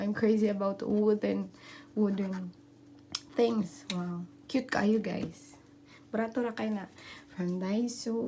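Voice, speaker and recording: A woman speaks at a very slow pace, with long, frequent pauses. Her voice is medium in pitch, with ordinary variation. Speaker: vlogger. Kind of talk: casual vlog room tour.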